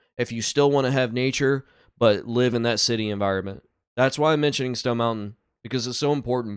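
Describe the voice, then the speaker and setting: A man with a Southern US accent talks at a very fast pace in an animated tone, with a medium pitch and ordinary pitch variation, in a very clean recording over a silent background. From south Georgia, US South. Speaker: truck driver and reaction video commentator. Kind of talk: reaction commentary. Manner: casual, animated.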